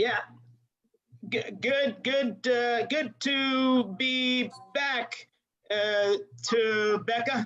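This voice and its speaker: A man's put-on character voice at an extremely high pitch, very slow, with long, frequent pauses, very even loudness and fairly even intonation. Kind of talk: TV news anchor delivery. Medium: game stream. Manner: hesitant, stammering.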